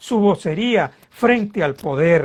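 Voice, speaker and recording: A man with a high pitch makes very wide pitch swings as he speaks. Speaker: political scientist and politician. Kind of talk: interview. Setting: online video interview. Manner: animated.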